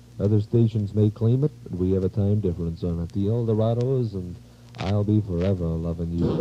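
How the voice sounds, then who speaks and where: Noticeable background noise runs under this recording. A man talks at a fairly quick pace with ordinary pitch variation. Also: fairly low pitch for a man. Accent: American. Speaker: 1950s radio disc jockey. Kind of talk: radio DJ show patter. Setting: vintage AM radio broadcast.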